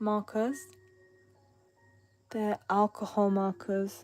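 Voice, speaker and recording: With music in the background, a woman with an English accent mumbles in a fairly high pitch. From England. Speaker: artist streamer. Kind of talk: live stream chat while drawing. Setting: live stream. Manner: mumbling.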